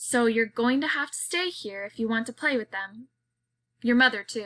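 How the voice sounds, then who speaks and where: Doing a put-on character voice, a woman sounds gruff at a fairly high pitch, with ordinary pitch variation, a moderate pace, big swings in loudness, and a dry, close sound with no echo. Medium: read story.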